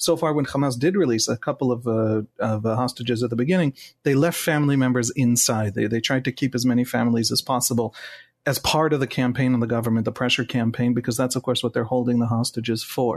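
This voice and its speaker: Speaking very fast with an Israeli accent, a man keeps a medium pitch, fairly even intonation and very even loudness, recorded dry and close with no echo against a quiet background. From Israel, Jerusalem. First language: Hebrew. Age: 40s. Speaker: journalist. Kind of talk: interview. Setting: video call.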